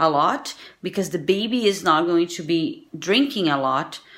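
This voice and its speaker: A woman with a Portuguese accent speaks at a fairly slow pace. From Brazil. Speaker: vlogger and singer-songwriter. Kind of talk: casual vlog talk to camera. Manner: halting, searching for words.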